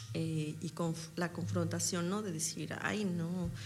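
Her voice swings very widely in pitch and has vocal fry. Audible room echo surrounds this woman's speech. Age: 30s. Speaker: stage actress. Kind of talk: interview.

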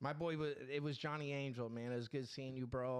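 A man talks at a fairly quick pace. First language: not English. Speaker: podcast co-host. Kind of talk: casual chat. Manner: animated.

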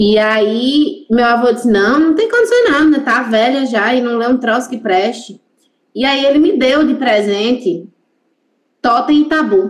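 Here a woman talks at a fairly slow pace. Her pitch is high, with ordinary pitch variation. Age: 30s. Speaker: Lacanian psychoanalyst. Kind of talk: casual chat.

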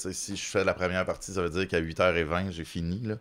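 In a very clean recording with a silent background, a man speaks with a Quebec accent. His pitch is very deep and low. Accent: Québécois French. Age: 30s. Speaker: comedian. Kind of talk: casual chat.

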